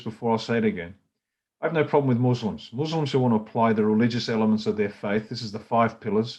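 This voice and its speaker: Against a quiet background, a man of medium pitch speaks very fast with an Australian accent and ordinary pitch variation. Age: 60s. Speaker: political party leader. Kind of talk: political talk. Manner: animated.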